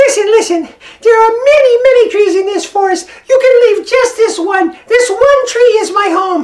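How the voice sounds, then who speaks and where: This man uses a put-on character voice pitched extremely high. He talks at a moderate pace. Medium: read story. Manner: pleading, desperate, then grateful.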